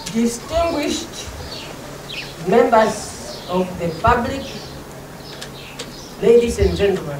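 A woman speaks at a very slow pace over noticeable background noise. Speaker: speaker. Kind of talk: formal ceremonial speech. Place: tent.

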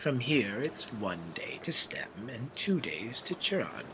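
Clear background noise behind a fairly slow pace. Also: man, medium pitch for a man.

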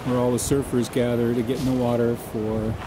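With noticeable background noise behind him, a man at a medium pitch talks at a moderate pace with fairly even intonation. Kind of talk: casual travelogue narration to camera.

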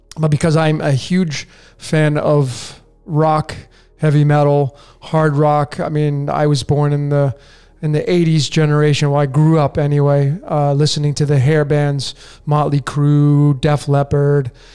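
Over music in the background, a man talks at a fairly slow pace in a monotone, flat intonation with very even loudness. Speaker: podcast host. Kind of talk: casual podcast monologue. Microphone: studio mic.

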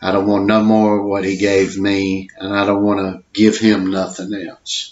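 Speaking with monotone, flat intonation, a man has a fairly low pitch. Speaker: storyteller. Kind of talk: personal story monologue. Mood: reflective, earnest. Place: home room. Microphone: webcam.

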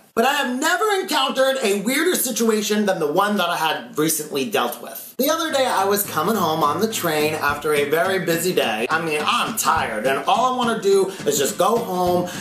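Music plays in the background as a man talks at a fairly quick pace with hardly any pauses. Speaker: vlogger. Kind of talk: casual vlog storytelling. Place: home room.

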